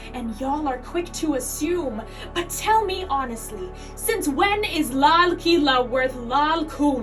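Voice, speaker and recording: Over music in the background, a woman talks in a high pitch with lively intonation. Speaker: activist, filmmaker, slam poet. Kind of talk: slam poetry performance.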